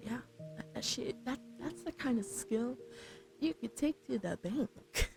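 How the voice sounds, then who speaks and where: A soft-spoken woman with a fairly high pitch talks very slowly in a relaxed tone, her pitch swinging very widely. The sound is dry and close with no echo, and music plays in the background. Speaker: vtuber streamer. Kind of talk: casual livestream chat with viewers, ASMR stream. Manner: soft-spoken, relaxed.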